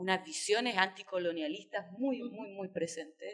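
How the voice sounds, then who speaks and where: A woman's voice against a quiet background. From Chile. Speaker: writer; invited writer on panel. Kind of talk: panel discussion. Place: hall. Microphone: podium.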